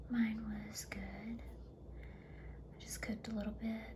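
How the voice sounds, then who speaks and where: Through noticeable background noise comes a soft-spoken woman's voice. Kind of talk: ASMR chatty makeup favorites talk to camera. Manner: soft-spoken, chatty.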